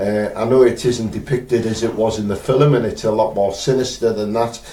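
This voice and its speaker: A man with a northeast England accent speaks at a medium pitch and a fairly quick pace in a flat monotone, with noticeable background noise and audible room echo. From northeast England, Teesside. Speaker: spirit medium. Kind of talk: live stream chat. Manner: hesitant, many fillers.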